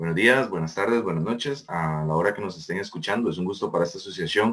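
Speaking somewhat quickly, a man shows normal variation in pitch. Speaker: student association president, podcast host. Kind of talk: podcast interview.

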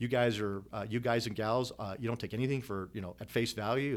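A man with a plain, everyday voice at medium pitch and a fairly quick pace, very cleanly recorded against a silent background. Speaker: retired air force colonel and economics professor. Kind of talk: casual interview. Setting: his office.

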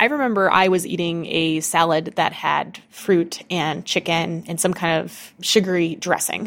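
In a normal speaking voice, a woman talks at a fairly slow pace with a fairly low pitch, fairly even intonation and hardly any pauses. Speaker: person with type 1 diabetes. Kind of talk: interview recording.

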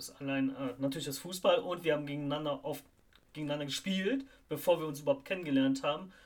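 Speaking at a very fast pace, a man with a fairly high pitch keeps a fairly even intonation while his loudness swings widely. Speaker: football podcast host. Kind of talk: casual chat.

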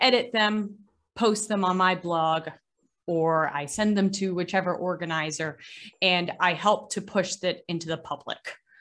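A woman with an American accent uses an ordinary speaking voice at a moderate pace. Her pitch is fairly low, with ordinary pitch variation. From Massachusetts, Boston area. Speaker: maritime archaeologist and scuba diver. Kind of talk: casual interview.

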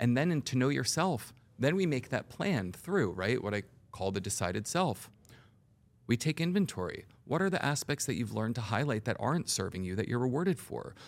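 Talking at a fairly quick pace, a man uses a medium pitch that swings very widely. The recording is very clean with a silent background. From Puerto Rican heritage. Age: 40s. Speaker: hypnotherapist and mindset coach. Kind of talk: casual interview chat. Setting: studio.

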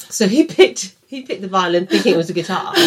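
A woman at medium pitch, very fast, with lively intonation. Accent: Birmingham. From English Midlands, Birmingham. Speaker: podcast co-host. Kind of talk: casual chat. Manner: loud.

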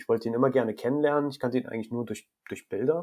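A man speaks with fairly even intonation. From Germany, Rhineland-Palatinate (rural). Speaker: photographer. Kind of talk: interview. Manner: halting, many repetitions and fillers.

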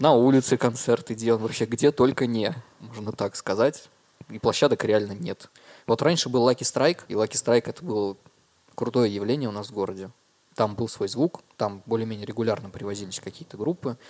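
A man with an unremarkable speaking voice, at medium pitch and a fairly quick pace, with ordinary pitch variation in a dry, close sound with no echo. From Russia, Murmansk and Dimitrovgrad. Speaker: musician and concert organizer. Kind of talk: casual chat.

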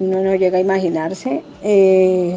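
A woman's medium-pitched voice at a very slow pace amid noticeable background noise. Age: 50s. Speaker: retired nursing technician. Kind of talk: interview.

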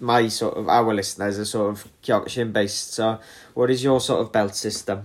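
A man in a northern English accent at a moderate pace. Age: 30s. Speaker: podcast host and martial arts instructor. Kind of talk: casual interview.

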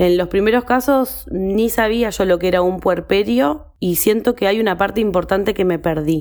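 A woman speaks in an unremarkable speaking voice at medium pitch, with ordinary pitch variation. Her loudness stays very even, and she hardly pauses. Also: moderate pace. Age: 30s. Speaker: actress and lawyer. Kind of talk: recorded voice message.

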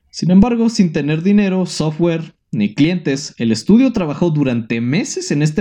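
Speaking at a moderate pace with a Mexican accent, a man uses a fairly high pitch that swings very widely. His tone is dark and mellow. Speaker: podcast host. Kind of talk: scripted narration; casual chat. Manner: halting.

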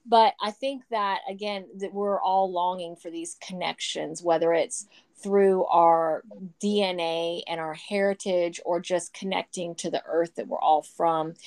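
With an American accent, a woman speaks at a medium pitch and fairly slow pace in a dry, close sound with no echo. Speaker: podcast host, homeschooling mom. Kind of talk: casual chat. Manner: animated, laughs often.

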